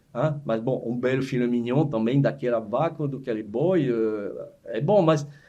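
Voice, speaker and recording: A man speaks in a dark, mellow tone at a fairly slow pace with ordinary pitch variation and hardly any pauses. The room echo is audible. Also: medium pitch for a man. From France (Savoie). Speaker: chef. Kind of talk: casual chat. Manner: halting.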